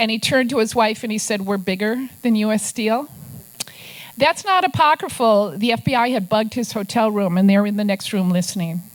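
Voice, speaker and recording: With an Upper Midwest accent, a woman talks at a moderate pace in a fairly high pitch, her intonation lively. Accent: Upper Midwest American. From Minnesota. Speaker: investigative journalist and author. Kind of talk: talk to a club audience with slides.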